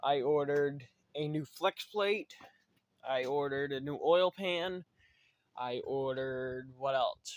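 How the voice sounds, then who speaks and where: Taking long, frequent pauses, a man with a fairly high-pitched voice speaks at a very slow pace with ordinary pitch variation. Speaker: DIY truck builder, channel owner. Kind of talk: casual workshop vlog. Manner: rambling, filler-heavy.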